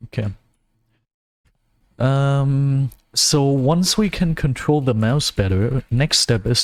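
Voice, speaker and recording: This is a man speaking with a German accent. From Germany. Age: 20s. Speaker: gaming streamer. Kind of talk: gameplay livestream commentary. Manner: casual, with frequent fillers and self-corrections.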